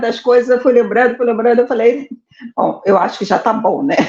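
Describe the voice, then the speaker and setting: A woman speaks at a moderate pace. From Brazil, Rio de Janeiro (born Salvador). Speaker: administrator, interview guest. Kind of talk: life story interview.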